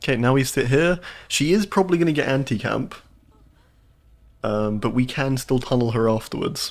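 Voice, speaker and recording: A man speaks with a southern English accent at a medium pitch, with lively intonation and very even loudness. He leaves long, frequent pauses. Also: moderate pace. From southern England. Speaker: video game streamer. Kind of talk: live gameplay commentary. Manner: animated.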